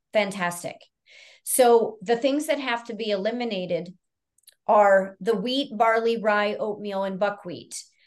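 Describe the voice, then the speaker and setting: Speaking in an unremarkable speaking voice, this woman keeps a moderate pace with a fairly high pitch. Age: 50s. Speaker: naturopathic doctor. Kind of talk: interview.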